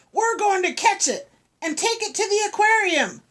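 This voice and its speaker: A woman puts on a squeaky character voice at an extremely high pitch. She keeps to a moderate pace. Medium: read story.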